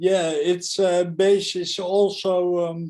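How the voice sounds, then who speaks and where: A man speaks very slowly, his pitch high with monotone, flat intonation. His tone is dark and mellow. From Netherlands, Amsterdam. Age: 40s. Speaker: spiral dynamics enthusiast. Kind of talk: casual interview. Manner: halting, many fillers.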